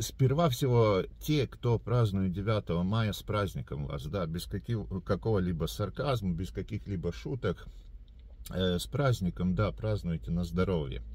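Talking at a fairly slow pace, a man uses a very deep, low voice with vocal fry and very wide pitch swings, in a dry sound with no echo. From Latvia. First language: Latvian (speaking Russian). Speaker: video blogger. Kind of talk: direct-to-camera address. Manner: hesitant, many filler sounds. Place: car. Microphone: phone near.

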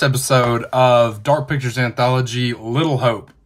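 The man speaking sounds somewhat breathy. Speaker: gaming streamer. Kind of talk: casual gameplay commentary. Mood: upbeat, excited. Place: home room.

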